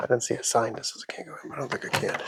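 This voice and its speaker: A man speaks very fast in an American accent. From Houston, Texas. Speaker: hiking vlogger. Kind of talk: casual vlog narration while hiking. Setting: outdoors, desert hiking trail.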